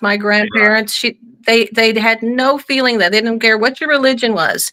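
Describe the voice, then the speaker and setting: A woman speaks with a bright, sharp tone. Her intonation stays fairly even. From Northern Ireland, Belfast. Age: 60s. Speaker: guest. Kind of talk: casual chat. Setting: live stream.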